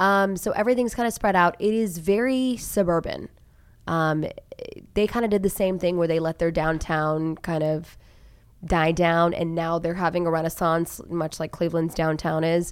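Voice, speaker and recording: A woman with an American accent speaks in an ordinary speaking voice at a moderate pace. Her pitch sits fairly low, with ordinary variation. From Tulsa, Oklahoma. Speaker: TV news journalist. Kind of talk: casual chat. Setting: studio.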